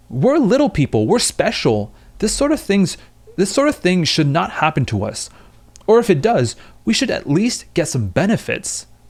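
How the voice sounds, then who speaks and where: A put-on character voice from a man, high-pitched and whiny, with very wide pitch swings at a moderate pace. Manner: whiny, entitled.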